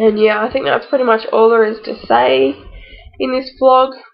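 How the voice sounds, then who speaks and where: A fairly slow delivery with an Australian accent. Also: woman. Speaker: vlogger, new mother. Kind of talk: casual vlog.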